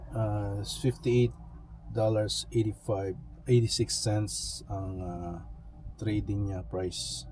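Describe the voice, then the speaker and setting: A man speaks at a very slow pace. Music plays in the background. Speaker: vlogger. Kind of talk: casual vlog talk. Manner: halting, many fillers.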